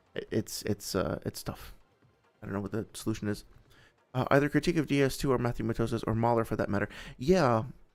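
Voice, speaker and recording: Over background music, a man with a medium pitch and ordinary pitch variation speaks very fast, broken by long, frequent pauses. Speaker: game developer and video essayist. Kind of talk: casual commentary livestream. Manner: halting, many fillers.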